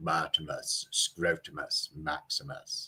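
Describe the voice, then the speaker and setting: A put-on character voice from a man, delivered at a fairly slow pace. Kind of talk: mock-formal. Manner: grand, pompous.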